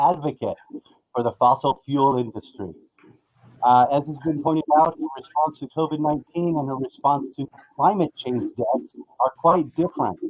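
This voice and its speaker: Here is a man's voice. It has a fairly high pitch. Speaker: public commenter at hearing. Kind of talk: public comment. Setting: remote call-in. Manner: impassioned. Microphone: connection cutting out.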